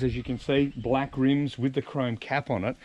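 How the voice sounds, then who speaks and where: A man talks over light background noise. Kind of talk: casual vlog tutorial. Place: street. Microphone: phone near.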